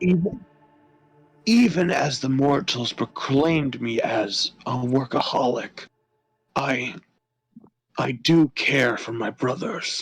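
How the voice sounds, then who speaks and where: In a put-on character voice, a man speaks raspily at a medium pitch and a fairly slow pace, with long, frequent pauses. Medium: game stream. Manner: formal, archaic phrasing.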